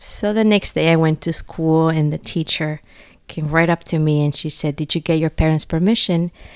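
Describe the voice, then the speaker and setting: In a Spanish accent, a woman speaks at a fairly low pitch and moderate pace with fairly even intonation, the sound dry and close with no echo, and the recording very clean over a silent background. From Nicaragua. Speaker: parish outreach coordinator, former nun. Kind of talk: faith testimony interview.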